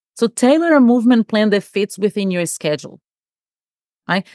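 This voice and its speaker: A woman with a Portuguese accent speaks at a moderate pace with lively intonation, against a quiet background in a dry, close sound with no echo. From Brazil. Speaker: executive coach. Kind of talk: casual chat.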